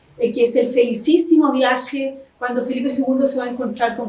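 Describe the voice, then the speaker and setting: Amid noticeable background noise, a woman with a high pitch and ordinary pitch variation keeps a moderate pace. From Chile, Concepción. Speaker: historian and novelist. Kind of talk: interview.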